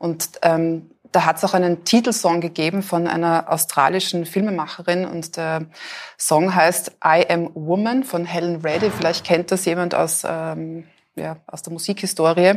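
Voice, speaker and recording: Fairly slow and fairly even in intonation, a woman with an unremarkable speaking voice and fairly low pitch speaks with big swings in loudness. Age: 40s. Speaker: author and photographer. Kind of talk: interview at live event. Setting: café with live audience.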